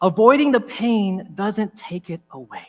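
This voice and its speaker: With music in the background, a man speaks at a fairly slow pace and a high pitch. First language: Tagalog. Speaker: chaplain giving a talk. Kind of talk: inspirational talk.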